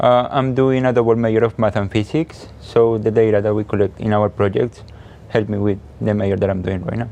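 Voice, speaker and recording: The man's voice is fairly low, with a dark, mellow tone. He speaks at a fairly quick pace. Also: fairly even intonation. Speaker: nonprofit project manager and university student. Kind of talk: interview.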